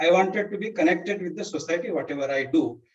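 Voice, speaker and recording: This is a man talking. He speaks with a Kannada accent. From India, Karnataka border village near Solapur. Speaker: teacher. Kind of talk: life story talk. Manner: halting, many fillers.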